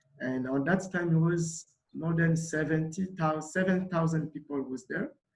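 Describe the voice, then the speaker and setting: A man speaks with a Congolese accent at a moderate pace. His pitch is high, with ordinary variation. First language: Lingala. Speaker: refugee volunteer. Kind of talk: panel talk. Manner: halting.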